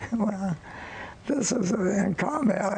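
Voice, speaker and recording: At a fairly slow pace and high pitch, a man talks while noticeable background noise persists. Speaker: war veteran. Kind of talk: interview answer.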